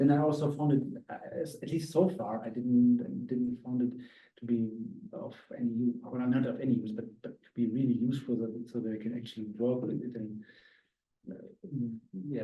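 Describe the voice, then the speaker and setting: The speaker has a German accent and talks at a fairly quick pace. Intonation stays fairly even while loudness swings widely. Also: man. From Austria. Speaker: visiting academic speaker. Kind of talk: casual discussion. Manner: halting, many fillers.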